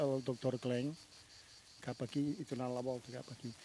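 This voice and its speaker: In a dry recording with no echo and light background noise, a man speaks in a dark, mellow tone with monotone, flat intonation. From Catalonia, Cardedeu; Catalonia, Spain. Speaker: local resident at a town festival. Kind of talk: street interview; interview answer. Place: car. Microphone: handheld.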